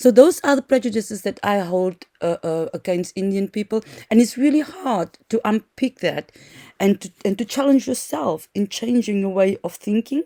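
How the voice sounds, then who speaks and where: A woman with a non-native accent speaks at a moderate pace and a fairly high pitch, her dark, mellow tone carrying lively intonation in a dry, close sound with no echo. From South Africa. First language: not English. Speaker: social work lecturer. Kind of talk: lecture. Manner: halting, many fillers.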